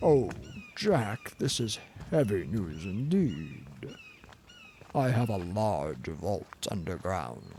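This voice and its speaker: In a put-on character voice, a man speaks at a very slow pace with very wide pitch swings. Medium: read story. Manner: archaic, boastful.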